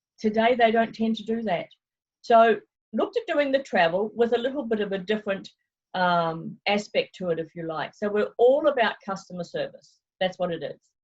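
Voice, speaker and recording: At a moderate pace, a woman in a New Zealand accent speaks somewhat breathily with a fairly high pitch and lively intonation. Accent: New Zealand accent, noticeable. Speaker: travel consultant. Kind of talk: interview. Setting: video call.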